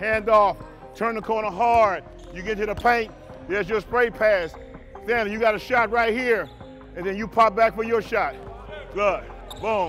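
With faint music in the background, a high-pitched man speaks at a moderate pace with fairly even intonation. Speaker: basketball assistant coach. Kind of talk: coaching instructions. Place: hall. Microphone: lapel.

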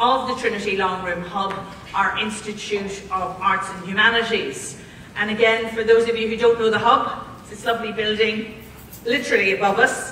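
A woman at a moderate pace, monotone with flat intonation, amid light background noise and audible room echo. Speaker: institute director introducing a lecture. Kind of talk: formal introduction speech. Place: hall.

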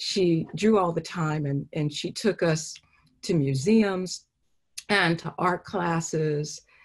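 Against a quiet background, a woman with a fairly low voice speaks very slowly and with fairly even intonation. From Los Angeles. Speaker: painter; artist giving a lecture. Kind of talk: artist lecture with Q&A. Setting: video call. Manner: halting, many fillers. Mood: reflective, warm. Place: home room. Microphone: video call.

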